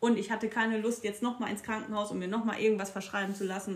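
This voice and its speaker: Over noticeable background noise, a woman with a slight Ruhr accent talks at a very fast pace in a fairly high pitch and an animated tone. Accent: slight Ruhrpott dialect slipping through. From Ruhr area, Castrop-Rauxel. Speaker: podcast co-host. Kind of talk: casual chat. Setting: at home. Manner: animated, frequent laughing.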